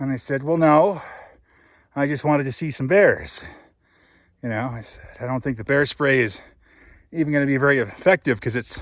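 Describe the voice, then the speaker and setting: The speaker moves at a fairly quick pace with ordinary pitch variation and long, frequent pauses, in a very clean recording with a silent background. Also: man, fairly high pitch for a man. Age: 40s. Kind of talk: casual talk to camera while hiking.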